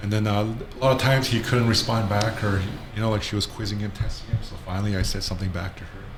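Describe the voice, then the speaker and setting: Over noticeable background noise and audible room echo, a man talks at a very fast pace. His pitch is fairly low and his intonation fairly even. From northern Ontario First Nation reserve, Canada. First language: Ojibwe and Cree. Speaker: Ojibwe language instructor. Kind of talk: casual interview.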